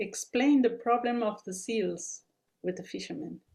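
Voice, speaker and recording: In a non-native accent, a somewhat breathy voice speaks at a moderate pace with ordinary pitch variation. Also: woman. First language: not English. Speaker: researcher, webinar speaker. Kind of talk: Q&A answer in webinar.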